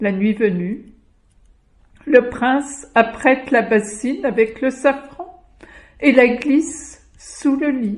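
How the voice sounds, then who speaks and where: The pace is very slow. Long pauses come frequently. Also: woman, high pitch for a woman, ordinary pitch variation. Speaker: storyteller. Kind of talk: folk tale storytelling.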